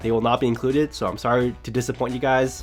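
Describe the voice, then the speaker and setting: Music plays in the background as a man with a medium pitch talks at a very fast pace in an upbeat tone. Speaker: anime YouTuber. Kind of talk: casual anime commentary to camera. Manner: casual, upbeat.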